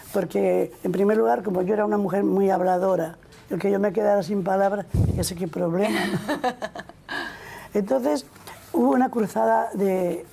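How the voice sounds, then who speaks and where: A woman with medium pitch and lively intonation speaks at a moderate pace, with very even loudness and long, frequent pauses. Noticeable background noise is present. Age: 80s+. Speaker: nun. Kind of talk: interview answer.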